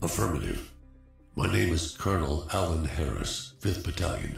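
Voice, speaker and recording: A man's cartoonish character voice, very deep and low, at a moderate pace with ordinary pitch variation, slight echo and faint music in the background. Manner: gruff, clipped military.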